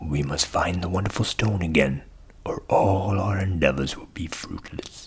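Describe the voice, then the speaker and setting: In a put-on character voice with a very deep, low pitch, a man talks at a moderate pace. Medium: read story. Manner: bossy, boastful.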